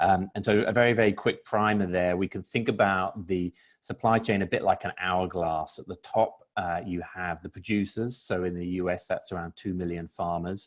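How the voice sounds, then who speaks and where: With a British accent, a man with a very deep, low pitch speaks with fairly even intonation and hardly any pauses. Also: moderate pace. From Britain. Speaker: food industry panelist. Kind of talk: webinar panel discussion.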